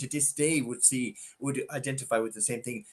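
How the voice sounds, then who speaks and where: A man with a Tipperary accent, fairly high in pitch with a bright, sharp tone, at a moderate pace with ordinary pitch variation. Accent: Irish (Tipperary). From Ireland, west Tipperary. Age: 70s. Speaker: former prison governor. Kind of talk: interview conversation. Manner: halting, many fillers.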